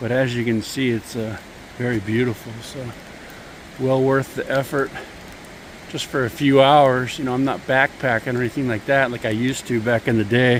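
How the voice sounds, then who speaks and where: A man speaks in a monotone, flat intonation, stopping for long, frequent pauses. Noticeable background noise is present. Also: medium pitch for a man, moderate pace. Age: 60s. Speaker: hiking vlogger. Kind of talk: casual vlog narration. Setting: outdoors on a trail in pouring rain.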